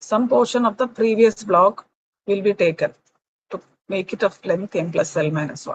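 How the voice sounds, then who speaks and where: A woman speaks with a somewhat breathy voice and ordinary pitch variation, pausing long and often, in a dry, close sound with no echo. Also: medium pitch for a woman. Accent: Keralan. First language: Malayalam. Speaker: lecturer. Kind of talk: lecture. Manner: slow.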